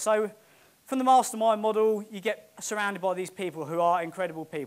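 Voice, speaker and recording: With a British accent and a high voice, a man talks at a very fast pace in an animated tone, with ordinary pitch variation. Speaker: property investor. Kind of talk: motivational talk. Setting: stage with audience.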